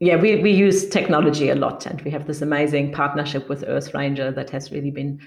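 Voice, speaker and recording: With a German accent, a woman speaks at a very deep, low pitch and ordinary pitch variation. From Germany. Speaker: conservationist, foundation co-director. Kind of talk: interview. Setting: remote call.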